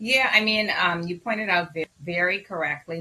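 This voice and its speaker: The speaker has a Bahamian accent and talks at a moderate pace. Noticeable background noise runs underneath. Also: woman. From Bahamas. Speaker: physician. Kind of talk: interview.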